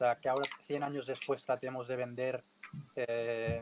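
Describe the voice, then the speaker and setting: In a Catalan accent, a man speaks at a fairly slow pace with monotone, flat intonation, the sound dry and close with no echo. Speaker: bullfighting podcast panelist. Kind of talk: casual panel discussion. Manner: halting, many repetitions.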